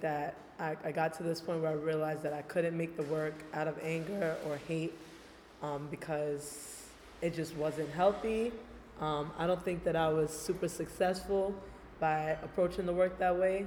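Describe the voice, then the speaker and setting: The woman speaks with an American accent and monotone, flat intonation. There is noticeable background noise. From Brooklyn, New York. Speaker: visual artist. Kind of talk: casual interview chat.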